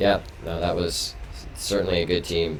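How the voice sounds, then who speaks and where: A man speaks at a fairly quick pace with audible room echo. Noticeable background noise runs underneath. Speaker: esports stream host. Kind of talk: post-match interview. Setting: live stream. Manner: loud. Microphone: echo on the stream audio.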